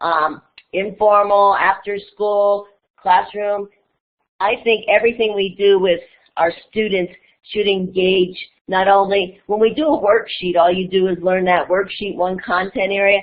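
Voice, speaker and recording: A woman with an unremarkable speaking voice talks at a fairly slow pace, keeping a medium pitch and fairly even intonation. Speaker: educator and conference presenter. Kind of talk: online conference presentation.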